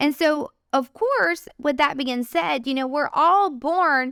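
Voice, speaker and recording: Loud and with an energetic tone, a woman speaks with ordinary pitch variation in a dry, close sound with no echo and a very clean recording with a silent background. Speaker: podcast host. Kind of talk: faith-based encouragement podcast monologue. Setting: studio microphone.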